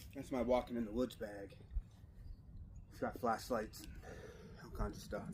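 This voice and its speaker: A man speaks at medium pitch and a moderate pace, with vocal fry and a monotone, flat intonation. His loudness swings widely, broken by long, frequent pauses. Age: 30s. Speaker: vlogger. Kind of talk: casual vlog talk to camera. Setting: outdoors by a backyard fire. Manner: soft-spoken.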